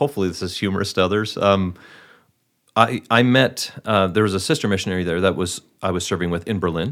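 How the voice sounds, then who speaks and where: With an American accent, a man talks in an ordinary speaking voice at a fairly low pitch. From Wisconsin, Milwaukee area. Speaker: actor. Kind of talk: interview.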